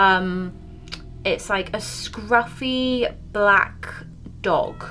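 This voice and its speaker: Music plays in the background as a woman with a British accent speaks at a fairly high pitch. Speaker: beauty and paranormal YouTuber. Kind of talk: casual makeup tutorial chat. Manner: casual, rambling with fillers.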